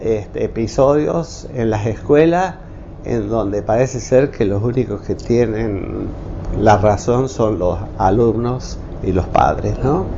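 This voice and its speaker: In a room with audible echo and noticeable background noise, a man speaks at a very slow pace. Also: medium pitch for a man, ordinary pitch variation. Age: 70s. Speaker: retired engineer and technical school teacher. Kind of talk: interview testimony. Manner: halting, many fillers.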